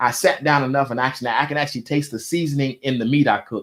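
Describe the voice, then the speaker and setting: Very fast, animated speech from a man at medium pitch, on a very clean recording with a silent background. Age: 40s. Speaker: entrepreneur. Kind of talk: interview.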